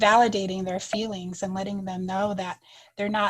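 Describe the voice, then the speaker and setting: Somewhat breathy and at medium pitch, a woman speaks with an American accent and monotone, flat intonation. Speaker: third-grade teacher. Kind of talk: podcast interview.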